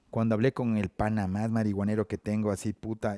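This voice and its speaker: The speaker is a man. The sound is dry with no echo, and the background is quiet. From Ecuador, Ambato; Ecuador. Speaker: rapper; guest. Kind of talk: casual chat. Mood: relaxed, casual, joking. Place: studio. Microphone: headset.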